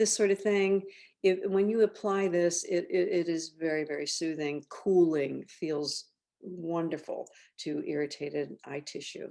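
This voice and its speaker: At a fairly slow pace, a woman with a dark, mellow tone speaks with ordinary pitch variation. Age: 70s. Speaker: skincare company founder. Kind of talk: tutorial. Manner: halting.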